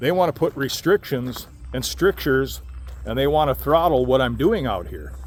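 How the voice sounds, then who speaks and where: A man talks at a fairly quick pace. Noticeable background noise runs under his voice. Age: 60s. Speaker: RV vlogger. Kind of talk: casual vlog monologue.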